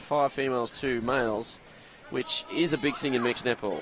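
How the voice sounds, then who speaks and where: Over noticeable background noise, a man speaks in a fairly high voice with a Queensland accent. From Queensland, Australia. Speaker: sports commentator. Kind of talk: live commentary. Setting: stadium commentary.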